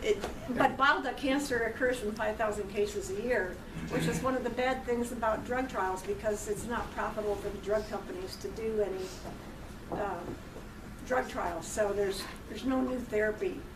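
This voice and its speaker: A woman's fairly high voice at a moderate pace with ordinary pitch variation, amid noticeable background noise and audible room echo. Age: 60s. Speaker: cancer patient sharing her story. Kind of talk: talk to a college class. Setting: college classroom.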